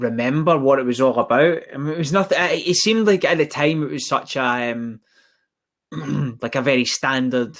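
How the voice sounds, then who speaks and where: A strong Scottish accent comes through at a moderate pace, with ordinary pitch variation. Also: man, fairly high pitch for a man. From Scotland, east end of Glasgow. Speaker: recruitment agency director. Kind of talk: casual chat.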